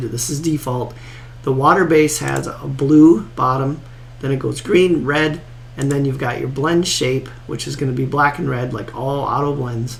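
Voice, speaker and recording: Noticeable background noise and audible room echo surround a man's voice. He speaks at a medium pitch and moderate pace with fairly even intonation. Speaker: golf course design tutorial creator. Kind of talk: tutorial. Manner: casual, conversational with filler words.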